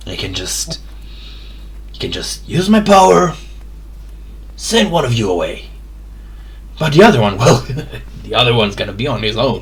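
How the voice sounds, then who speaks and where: A man performs a put-on character voice at a moderate pace. He leaves long, frequent pauses, with clear background noise behind him. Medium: actual play. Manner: sly, casual.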